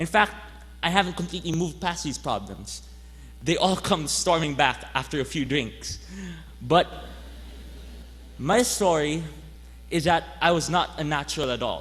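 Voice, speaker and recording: A man talks at a moderate pace, leaving long, frequent pauses. Audible room echo fills the recording. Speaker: graduating student speaker. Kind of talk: commencement speech. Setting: stage with audience.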